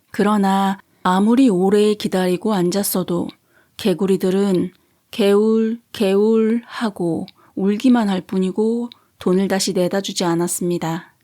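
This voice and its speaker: Captured in a very clean recording against a silent background, a woman speaks very slowly at a medium pitch with fairly even intonation. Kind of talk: sleep story. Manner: soft-spoken, calm.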